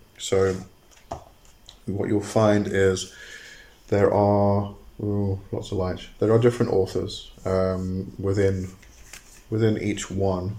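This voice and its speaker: Speaking very slowly with long, frequent pauses, a man uses a fairly low, monotone, flat delivery amid audible room echo. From England (Coventry), moved to South Africa at almost eleven. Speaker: podcast host on witchcraft and magic. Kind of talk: solo podcast talk. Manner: hesitant, many fillers.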